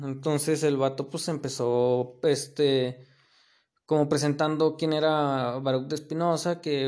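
Here a man with a Mexican accent has a fairly high pitch and a dark, mellow tone. His intonation stays monotone and flat. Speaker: podcaster. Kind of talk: casual monologue. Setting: recorded late at night. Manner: halting.

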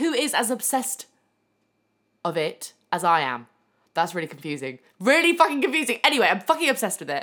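Talking at a very fast pace with a fairly high pitch, a woman's bright, sharp voice shows vocal fry and very wide pitch swings, broken by long, frequent pauses. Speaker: podcast host, former stripper. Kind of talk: casual monologue. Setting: home living room.

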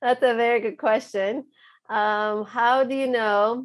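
A woman talks with a fairly high pitch. She has a non-native accent. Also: quiet background. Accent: foreign. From abroad, moved to US at 14. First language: not English. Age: 30s. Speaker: psychologist. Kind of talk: interview.

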